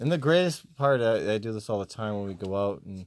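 Mumbling at a fairly quick pace, a man lets his pitch swing very widely. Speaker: podcast co-host. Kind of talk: casual chat.

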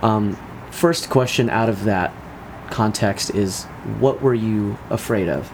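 Speaking at a very slow pace with long, frequent pauses, a man uses a fairly low pitch and ordinary pitch variation. Noticeable background noise sits under his voice. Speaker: podcast host. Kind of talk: casual interview chat.

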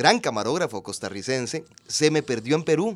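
A man's fairly high voice with vocal fry moves at a fairly quick pace. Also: very clean recording, silent background. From Costa Rica, Puntarenas. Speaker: actor and TV personality. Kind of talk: casual interview chat.

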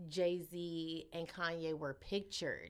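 A woman's fairly low pitch at a very slow pace. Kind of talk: casual chat. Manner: animated.

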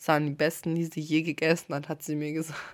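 Animated in tone, a woman speaks at a fairly quick pace with a very deep, low pitch in a very clean recording with a silent background. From Stuttgart area, Germany. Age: 20s. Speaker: podcast co-host. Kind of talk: casual chat.

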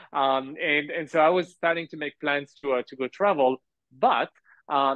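In a French accent, a man speaks at a moderate pace. His pitch is fairly high. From France. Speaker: entrepreneur. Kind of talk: interview. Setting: remote call. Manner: hesitant with fillers.

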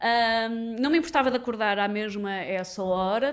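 A woman's plain, everyday voice at a fairly slow pace with ordinary pitch variation. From Portugal, Lisbon area (Sintra line). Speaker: comedy writer and radio host. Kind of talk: casual chat.

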